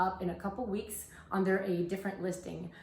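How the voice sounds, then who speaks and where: A woman with a French Canadian accent talks at a fairly quick pace, with audible room echo and noticeable background noise. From French Canada. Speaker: soap maker. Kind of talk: tutorial. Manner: casual, with fillers.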